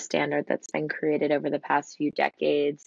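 A woman at a moderate pace, the sound dry with no echo and the background quiet. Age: 20s. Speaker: entrepreneur, boutique owner. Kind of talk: interview. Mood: reflective, calm. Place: home room. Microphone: video call.

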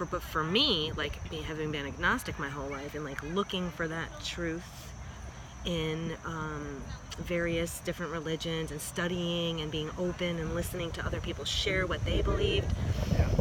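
Speaking at a moderate pace with fairly even intonation, a woman with a fairly low voice is heard over noticeable background noise, the sound dry with no echo. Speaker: vlog co-host. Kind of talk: casual vlog chat. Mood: earnest, reflective. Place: street. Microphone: phone near.

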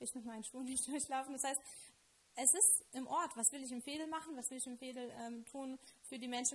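A woman speaks at a fairly quick pace with a Lithuanian accent. Her pitch is high and her intonation fairly even. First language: Lithuanian (speaking German). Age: 30s. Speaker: local politician and teacher; local politician, teacher. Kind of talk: interview. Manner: hesitant with many fillers. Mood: calm, earnest. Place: studio. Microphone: handheld.

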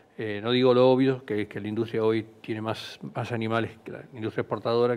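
A man speaks in a monotone with flat intonation, hardly pausing, while his loudness swings widely. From Argentina. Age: 60s. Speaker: animal feed company executive; guest. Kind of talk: interview. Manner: halting. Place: studio. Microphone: headset.

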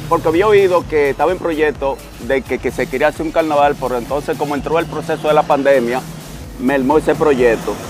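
A man talks with ordinary pitch variation and a dry sound with no echo. Clear music plays in the background. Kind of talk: interview answer. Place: street.

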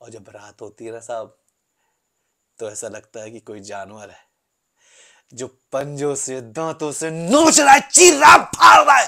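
A man talks at a fairly slow pace against a quiet background. His loudness swings widely. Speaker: actor performing a monologue. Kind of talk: dramatic acted monologue. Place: home room. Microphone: phone near.

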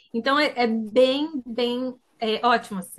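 A woman talks in a high-pitched voice. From Brazil, interior of Paraná. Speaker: college student and business analyst. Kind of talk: webinar testimony.

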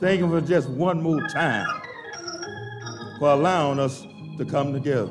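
Clear music plays behind a man who talks at a fairly slow pace. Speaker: church minister leading worship. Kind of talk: sermon-style worship welcome. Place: church. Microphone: handheld.

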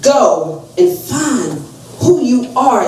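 A loud woman speaks with very wide pitch swings. Room echo is audible. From US South, North Carolina. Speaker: evangelist. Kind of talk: fervent eulogy-sermon at a family funeral, exhorting the congregation. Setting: funeral home pulpit with congregation. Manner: loud, rising preacherly call-and-response with repeated amens; emotional, earnest exhortation, asking rhetorical questions of the family. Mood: emotional, wiping tears. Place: hall. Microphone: pa.

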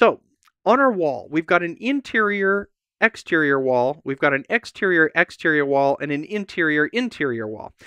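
A man speaks in a high, bright, sharp tone with very wide pitch swings at a moderate pace. The sound is dry with no echo, over a quiet background. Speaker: presenter. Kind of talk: tutorial. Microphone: lapel.

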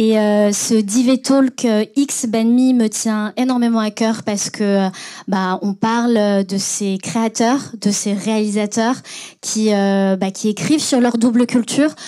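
Against a quiet background, a woman with a dark, mellow tone and fairly high pitch speaks at a very slow pace with fairly even intonation. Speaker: podcast host and moderator. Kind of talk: panel moderation and scripted intro. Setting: stage with audience. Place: hall. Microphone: handheld.

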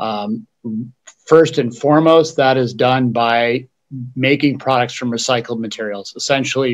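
A man talks at a moderate pace, the background around him quiet. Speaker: company founder and CEO; panelist. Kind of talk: panel presentation. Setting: video call. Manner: halting, many fillers. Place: office. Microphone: webcam.

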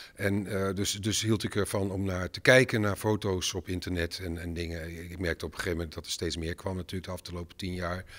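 A man speaks at a very fast pace with hardly any pauses, his pitch very deep and low. His intonation stays fairly even against a quiet background. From Netherlands, Enschede (Twente); Netherlands. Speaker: filmmaker. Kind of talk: interview. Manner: halting, many fillers and repetitions. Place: hall. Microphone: handheld.

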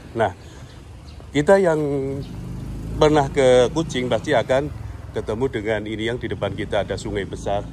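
A man at a moderate pace with lively intonation, long and frequent pauses, and light background noise. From Indonesia. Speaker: travel vlogger. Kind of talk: walking vlog narration with street interviews. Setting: outdoors. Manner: casual, conversational. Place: street. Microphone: phone near.

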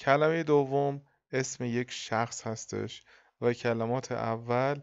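Speaking at a very slow pace, a man delivers his words in a monotone, flat intonation. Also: quiet background. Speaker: English teacher. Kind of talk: lecture.

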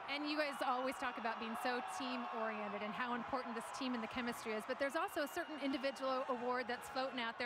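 A woman's high-pitched voice at a very fast pace, dry with no echo, amid noticeable background noise. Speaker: sideline reporter. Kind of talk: sideline interview questions; interview question. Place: stadium. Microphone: handheld.

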